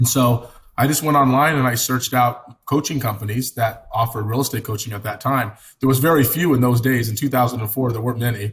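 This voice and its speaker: Somewhat breathy, a man with an American accent speaks at a very fast pace and medium pitch. His intonation is fairly even. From California, Italian family. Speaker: real estate team leader. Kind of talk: podcast interview.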